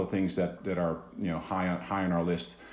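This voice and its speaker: A man speaks with a very deep, low pitch at a fairly quick pace. Audible room echo surrounds the voice. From Netherlands, Amsterdam. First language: Dutch. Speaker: business executive. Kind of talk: interview. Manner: halting, many repeated words.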